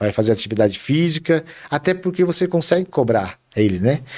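A man is speaking. His intonation is lively. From Brazil, Carapicuíba (São Paulo state). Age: 40s. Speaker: city councillor. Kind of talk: interview.

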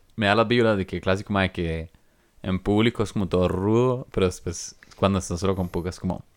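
The recording is very clean with a silent background, and a man has an ordinary speaking voice. His fairly low pitch carries fairly even intonation at a moderate pace. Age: 20s. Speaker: podcast co-host. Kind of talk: casual chat.

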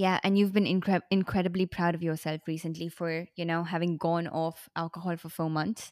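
On a very clean recording with a silent background and a dry, close sound with no echo, a woman speaks at a moderate pace with a fairly low pitch, monotone, flat intonation and hardly any pauses. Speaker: podcast host. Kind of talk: interview conversation.

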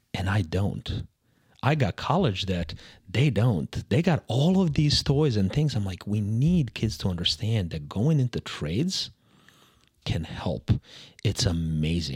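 A man with a fairly low pitch and a somewhat breathy voice speaks at a fairly slow pace, with very wide pitch swings. The recording is very clean with a silent background, with a dry, close sound with no echo. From Serbia. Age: 40s. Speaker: HVAC expert. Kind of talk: casual interview.

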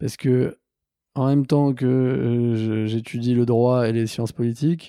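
Recorded very cleanly with a silent background, a man speaks at medium pitch with a dark, mellow tone. His pace is fairly slow and his intonation fairly even. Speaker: social entrepreneur. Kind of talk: interview. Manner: halting, many repetitions.

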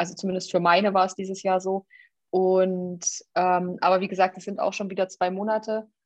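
In a monotone, flat delivery, a woman at medium pitch talks at a fairly quick pace. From Thuringia, Jena. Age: 30s. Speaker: state politician and podcast co-host. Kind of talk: casual political chat. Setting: remote recording.

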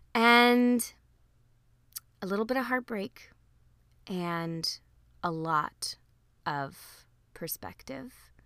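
A woman's medium-pitched voice, very slow in pace, with lively intonation. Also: long, frequent pauses. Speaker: podcast host. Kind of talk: solo podcast monologue. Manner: casual, reflective.

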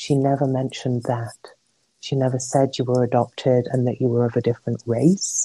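The voice, with an English accent, has a dark, mellow tone and a calm tone, moving at a fairly quick pace in monotone, flat intonation. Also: woman, very deep, low pitch for a woman. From England. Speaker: interview guest, adoptee. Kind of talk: casual interview. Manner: calm, reflective.

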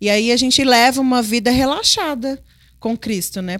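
The recording is very clean, with a silent background. A woman with a plain, everyday voice and fairly high pitch talks at a moderate pace, varying her pitch in an ordinary way. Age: 30s. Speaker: host's wife, mother. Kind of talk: Bible study conversation.

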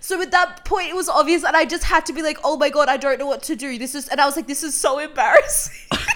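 A woman's high-pitched voice at a very fast pace, with ordinary pitch variation, big swings in loudness and noticeable background noise. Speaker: podcast host. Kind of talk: casual chat.

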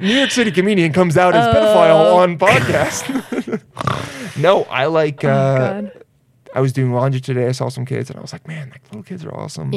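A man with a plain, everyday voice and fairly high pitch for a man talks at a moderate pace, his intonation lively and his loudness swinging widely. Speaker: podcast host, comedian.

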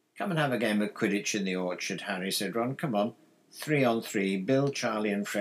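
Lively intonation in a natural voice reading aloud

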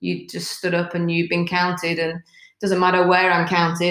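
A woman with a British accent talks at a medium pitch. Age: 40s. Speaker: fitness coach and former police officer. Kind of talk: casual chat.

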